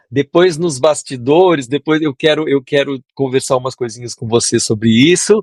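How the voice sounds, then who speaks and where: A man talks in a normal speaking voice, fairly high-pitched, with ordinary pitch variation. His moderate-paced delivery has a dry, close sound with no echo. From southern Brazil, Porto Alegre. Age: 60s. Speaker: composer and music producer. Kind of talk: interview.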